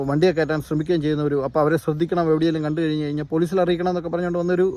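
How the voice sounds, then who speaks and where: A man with a fairly high pitch and ordinary pitch variation, an unremarkable speaking voice. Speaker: vlogger. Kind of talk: opinion vlog monologue.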